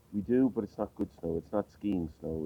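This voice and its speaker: With a western Irish accent, a man speaks in a dark, mellow tone, recorded dry and close with no echo. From Ireland, County Clare. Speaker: interviewee. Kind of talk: casual interview. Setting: outdoors on a street. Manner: hesitant, many fillers.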